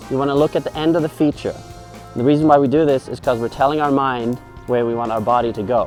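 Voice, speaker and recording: A man speaks very fast at a fairly high pitch, his tone playful and upbeat. Music plays in the background. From Norway. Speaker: professional snowboarder. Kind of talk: casual tutorial instruction to camera. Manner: playful, upbeat.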